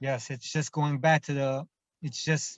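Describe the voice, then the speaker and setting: A man speaks with a Japanese accent at a very slow pace. His voice is somewhat breathy. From Japan (Kobe). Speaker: hip hop artist and producer. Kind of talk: interview. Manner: halting, many fillers.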